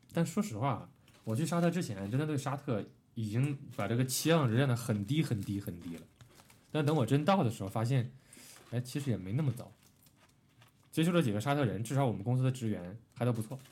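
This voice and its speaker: A man with a dark, mellow, somewhat breathy tone and lively intonation speaks at a fairly quick pace, broken by long, frequent pauses. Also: medium pitch for a man. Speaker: podcast co-host. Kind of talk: casual chat.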